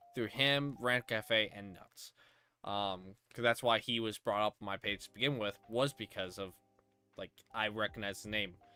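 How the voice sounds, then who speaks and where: A fairly low male voice with fairly even intonation and big swings in loudness, at a moderate pace, with music in the background. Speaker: streamer and show host. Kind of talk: casual chat interview.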